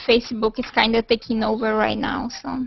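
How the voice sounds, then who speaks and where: A woman speaks in a fairly high, monotone voice with flat intonation. Noticeable background noise runs underneath. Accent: Portuguese. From Brazil. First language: Portuguese. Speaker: video call participant. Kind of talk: casual chat.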